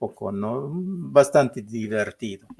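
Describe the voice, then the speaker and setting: A man speaks with a Peruvian Amazonian accent. He talks very slowly. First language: Ashéninka (speaking Spanish). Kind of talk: interview. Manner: halting, many fillers.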